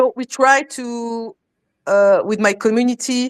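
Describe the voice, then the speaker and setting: A woman with a French accent speaks fairly slowly at a fairly high pitch. The sound is dry and close with no echo, on a very clean recording with a silent background. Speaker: crypto community educator. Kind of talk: live stream panel discussion. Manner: halting, many repetitions.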